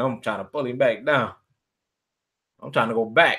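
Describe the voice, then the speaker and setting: At a fairly quick pace, a man speaks with medium pitch. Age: 20s. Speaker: hip-hop artist. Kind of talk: casual chat. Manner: casual, relaxed.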